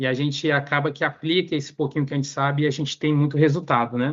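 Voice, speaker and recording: Speaking at a fairly quick pace, a man keeps a fairly high pitch and a monotone, flat intonation. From northern Brazil. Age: 30s. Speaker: economist, panel speaker. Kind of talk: academic talk. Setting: video call. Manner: halting, many fillers.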